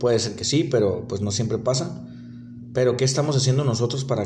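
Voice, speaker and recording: A man speaks at a medium pitch with fairly even intonation. Room echo is audible around him. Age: 20s. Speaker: delivery worker podcaster. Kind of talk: casual monologue. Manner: halting, repetitive.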